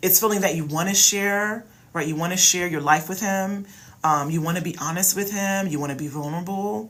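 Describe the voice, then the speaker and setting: A woman speaks at a fairly quick pace in a fairly low voice with an American accent. Her pitch varies in an ordinary way, and the room echo is audible. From Philadelphia, US. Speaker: relationship coach. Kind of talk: live stream Q&A advice. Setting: livestream. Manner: loud; casual, animated.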